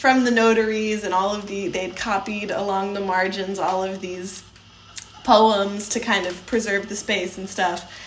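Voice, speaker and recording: Speaking with an American accent, a woman uses a medium pitch, fairly even intonation and a fairly slow pace. Noticeable background noise and audible room echo fill the recording. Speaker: podcast co-host. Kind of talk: casual chat.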